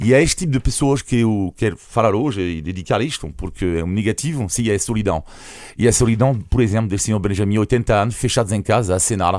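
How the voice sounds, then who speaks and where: In a French accent, a man talks at a very fast pace with a fairly low pitch. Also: ordinary pitch variation. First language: French (speaking Portuguese). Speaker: foreign journalist, weekly commentator. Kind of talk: radio panel commentary.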